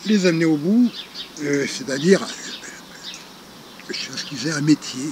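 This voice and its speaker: Over noticeable background noise, a man speaks at a fairly high pitch and fairly slow pace, with lively intonation, big swings in loudness, and long, frequent pauses. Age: 60s. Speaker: retired charity founder. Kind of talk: interview. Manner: hesitant, many fillers.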